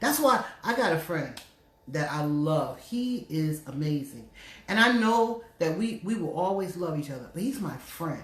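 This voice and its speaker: A woman with an American accent, fairly low pitch, animated tone and lively intonation, at a fairly slow pace, with audible room echo and noticeable background noise. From New Jersey. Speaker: radio host. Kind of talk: casual chat. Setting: Facebook live stream.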